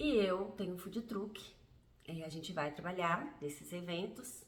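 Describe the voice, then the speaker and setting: Somewhat breathy speech comes at a fairly slow pace, with audible room echo. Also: woman. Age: 50s. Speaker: vlogger. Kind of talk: personal testimony vlog.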